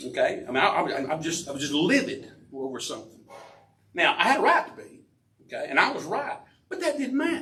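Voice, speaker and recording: A man speaks at a fairly quick pace, with big swings in loudness. Long, frequent pauses break up his speech. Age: 50s. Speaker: guest speaker at recovery meeting. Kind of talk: recovery testimony talk. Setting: recovery community meeting with audience. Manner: fast; frequent filler okay.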